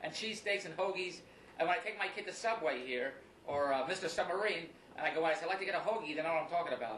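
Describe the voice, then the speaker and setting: Over noticeable background noise, a man with a high voice talks very fast in an American accent. His intonation is lively. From Philadelphia. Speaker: actor and infomercial host. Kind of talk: radio interview answer. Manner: energetic, jokey.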